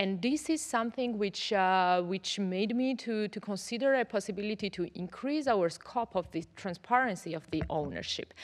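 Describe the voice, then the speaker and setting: Against a quiet background, a woman speaks at a moderate pace with lively intonation and hardly any pauses. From Georgia. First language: Georgian. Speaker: politician. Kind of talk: parliamentary speech. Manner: halting. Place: hall. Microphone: podium.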